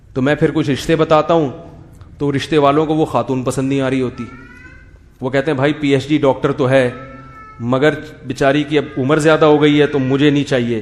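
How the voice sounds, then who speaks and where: A fairly high-pitched man's voice in a monotone, flat intonation, against noticeable background noise. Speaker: Islamic scholar giving a sermon. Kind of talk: religious lecture with humorous commentary.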